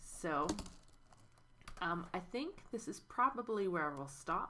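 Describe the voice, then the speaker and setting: The clip has audible room echo and noticeable background noise. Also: woman. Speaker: history teacher. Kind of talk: recorded lecture review.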